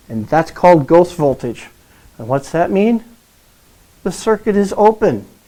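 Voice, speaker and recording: In an American accent, this man's voice has a dark, mellow tone. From Minnesota. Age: 50s. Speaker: heavy truck mechanic. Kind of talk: testimonial. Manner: animated.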